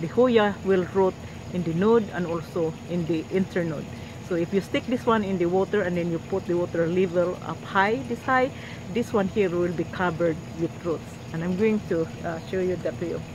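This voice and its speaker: Against noticeable background noise, a woman talks at a moderate pace with a fairly low pitch and ordinary pitch variation. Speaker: gardening youtuber. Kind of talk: tutorial. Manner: halting.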